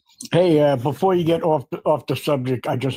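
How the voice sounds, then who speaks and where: The speaker uses a plain, everyday voice in an American accent. Pitch varies in an ordinary way at a moderate pace. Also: man, dry, close sound with no echo. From New York. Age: 60s. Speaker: caller on a political debate stream. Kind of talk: heated debate.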